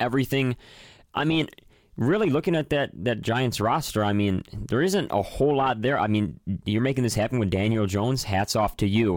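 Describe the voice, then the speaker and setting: Recorded very cleanly against a silent background, a man with an American accent and an unremarkable speaking voice talks at a fairly quick pace, medium in pitch and very even in loudness. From Chicago northwest suburbs. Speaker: sports podcast host. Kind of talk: casual chat.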